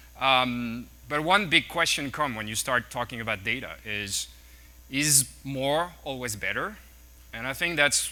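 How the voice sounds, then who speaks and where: A man speaks with a French accent at a moderate pace. His voice is medium in pitch, with a bright, sharp tone and ordinary pitch variation. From France. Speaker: tech executive speaker. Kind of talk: conference talk. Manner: halting, with fillers and repeats.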